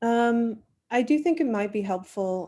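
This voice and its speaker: A woman with an American accent speaks at a fairly slow pace in a dark, mellow tone on a very clean recording with a silent background. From Queens, New York. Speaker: bagel shop owner. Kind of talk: interview answer.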